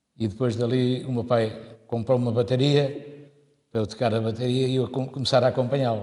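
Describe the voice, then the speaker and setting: Somewhat breathy, the man's voice has a dark, mellow tone. It sits at a medium pitch. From Portugal, Torres Vedras area (Ramalhal). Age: 70s. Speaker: musician, accordionist. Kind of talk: oral history interview.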